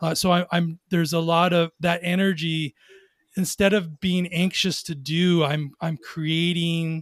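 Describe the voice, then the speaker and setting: Recorded dry and close with no echo, a man talks in a high-pitched voice. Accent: Californian. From Southern California, Long Beach. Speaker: entrepreneur, former federal agent. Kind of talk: casual interview.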